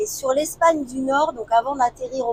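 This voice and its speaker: A woman talks at a high pitch. Her intonation is lively. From northern France, Lille. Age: 50s. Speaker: travel vlogger. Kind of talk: casual chat. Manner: hesitant, many fillers.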